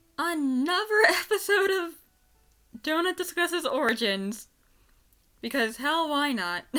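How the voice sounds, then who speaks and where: A woman with an extremely high pitch and a bright, sharp tone talks at a fairly slow pace in a raised, projected voice, her pitch swinging very widely between long, frequent pauses. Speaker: voice actor. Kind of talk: casual unscripted fan commentary. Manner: stuttering, excited.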